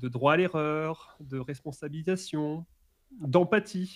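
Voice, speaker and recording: This man speaks at a very slow pace. His pitch variation is ordinary. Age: 20s. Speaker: author and management trainer. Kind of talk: interview. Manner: halting, repeating words.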